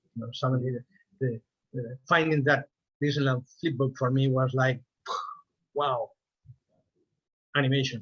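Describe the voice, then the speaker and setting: A man with a Spanish accent speaks at a moderate pace in a medium pitch, with fairly even intonation. Long, frequent pauses break up the dry, close sound with no echo. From Spain. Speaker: animator. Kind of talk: interview. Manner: halting, with frequent repetitions.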